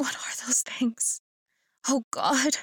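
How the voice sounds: Whispering in a shaky, put-on character voice, a woman speaks.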